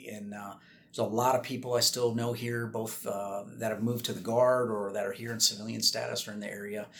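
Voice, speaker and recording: A man with an American accent talks at a fairly quick pace and a medium pitch. His intonation is monotone and flat, while his loudness swings widely. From Minnesota, US Midwest. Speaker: air force colonel. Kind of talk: interview.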